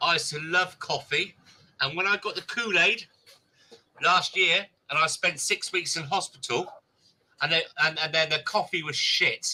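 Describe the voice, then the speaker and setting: A man with a bright, sharp tone and high pitch in an English accent, at a moderate pace with ordinary pitch variation and long, frequent pauses. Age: 50s. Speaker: live streamer. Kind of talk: casual chat.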